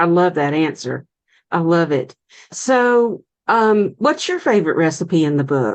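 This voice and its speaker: Against a quiet background, a woman with a Southern US accent talks at a fairly slow pace and fairly low pitch, her voice making very wide pitch swings. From US South. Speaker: cooking show host. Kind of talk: interview.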